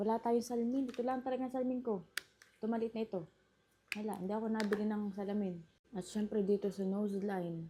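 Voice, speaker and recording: A Batangas accent with ordinary pitch variation. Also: woman. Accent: Batangueño Tagalog. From Batangas, Philippines. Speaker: vlogger. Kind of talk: makeup tutorial talk to camera. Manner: exaggerated regional accent, emphatic.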